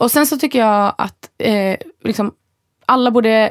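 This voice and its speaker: Recorded very cleanly with a silent background and a dry, close sound with no echo, a woman speaks in an unremarkable speaking voice at a fairly high pitch with ordinary pitch variation. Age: 30s. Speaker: podcast co-host. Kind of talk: casual chat.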